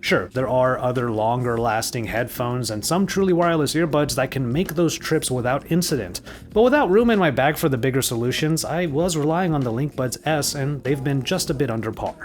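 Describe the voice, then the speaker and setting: There is noticeable background noise as a man talks at a fairly high pitch. He goes at a fairly quick pace with hardly any pauses. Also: lively intonation. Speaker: tech reviewer. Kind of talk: product review.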